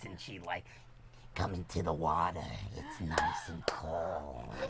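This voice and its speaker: A raspy, put-on character voice speaks at a fairly slow pace. Loud background noise runs underneath. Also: man, very deep, low pitch for a man. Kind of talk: playful. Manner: cringey, seductive.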